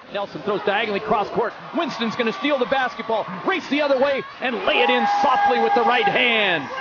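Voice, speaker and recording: An energetic man's extremely high voice with very wide pitch swings over loud background noise. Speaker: sports commentator. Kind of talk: sports play-by-play commentary. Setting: arena, at the game. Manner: fast-paced, excitable play-by-play; clipped, energetic, rapid-fire delivery. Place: hall. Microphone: headset.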